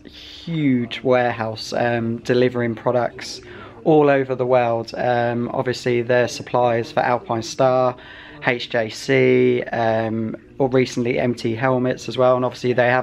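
A man at a fairly slow pace with monotone, flat intonation, over light background noise. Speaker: motorbike vlogger. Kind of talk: casual vlog chat. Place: shop. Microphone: phone near.

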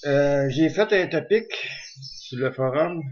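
Speech comes at a very slow pace against a quiet background. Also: man. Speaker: amateur web show host. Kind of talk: casual vlog chat. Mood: relaxed, joking, laughs. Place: home room. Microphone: webcam.

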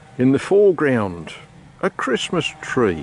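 Very slow speech from a man, dry with no echo, over light background noise. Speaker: homeowner vlogger. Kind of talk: casual vlog chat. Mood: relaxed, light humor. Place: garden. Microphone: phone near.

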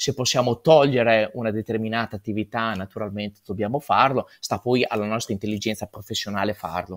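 A man talks at a fairly quick pace with hardly any pauses and fairly even intonation. The background is quiet. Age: 40s. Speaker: real estate agent; guest. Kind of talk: conference talk.

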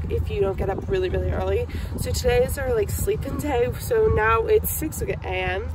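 Noticeable background noise behind a woman's dry voice with no echo. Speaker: travel vlogger. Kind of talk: casual vlog chat. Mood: relaxed, sleepy early morning. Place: car. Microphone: phone near.

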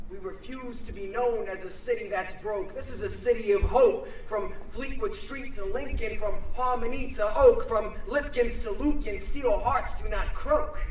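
In a room with audible echo and light background noise, an American-accented man with an extremely high pitch speaks at a fairly slow pace with hardly any pauses, his pitch swinging very widely. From Pennsylvania, Philadelphia suburbs; Pennsylvania. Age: 20s. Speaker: spoken word poet. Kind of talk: spoken word poetry performance. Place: street. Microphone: podium.

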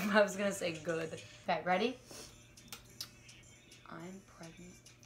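Clear music plays behind a woman speaking. Her loudness swings widely. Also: fairly even intonation, moderate pace. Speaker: vlogger. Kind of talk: casual talk to camera. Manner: loud, shouting. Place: home room. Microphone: phone near.

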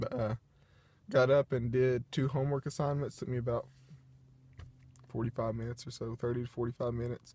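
The man's voice is somewhat breathy, with a dark, mellow tone and ordinary pitch variation. He speaks at a moderate pace, and the sound is dry with no echo. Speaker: vlogger. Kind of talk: casual vlog chat. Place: car. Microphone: phone near.

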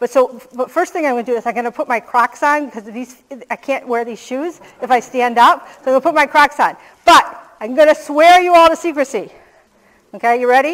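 Over a quiet background, a woman talks at a fairly quick pace with a high pitch. Her pitch variation is ordinary, while her loudness swings widely. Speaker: keynote speaker. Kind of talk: conference keynote talk. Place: stage.

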